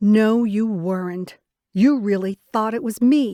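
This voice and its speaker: A woman puts on a character voice, fairly high in pitch, and speaks at a fairly slow pace. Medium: read story.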